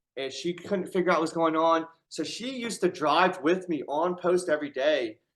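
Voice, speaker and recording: His pitch high, a man speaks at a moderate pace with ordinary pitch variation. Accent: American. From Syracuse, New York, US. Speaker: army veteran with brain injury. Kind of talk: casual conversation.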